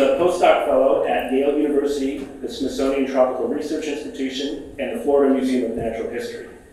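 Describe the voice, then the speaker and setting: Someone speaks at a very fast pace with strong room echo. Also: man. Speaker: event host. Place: hall.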